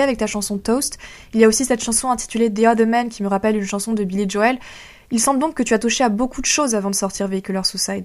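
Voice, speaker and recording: A woman speaks at a very fast pace. Her pitch sits fairly high. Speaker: radio host. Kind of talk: radio interview.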